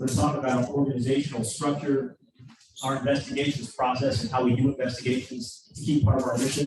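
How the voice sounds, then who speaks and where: Very fast talk from a man, medium in pitch and fairly even in intonation. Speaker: director of a police oversight agency. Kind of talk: presentation at a community meeting.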